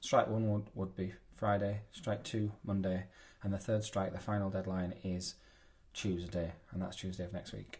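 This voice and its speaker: Somewhat breathy and monotone, with flat intonation, a man speaks in a very deep, low pitch with an English accent. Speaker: maths teacher. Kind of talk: tutorial. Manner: fast.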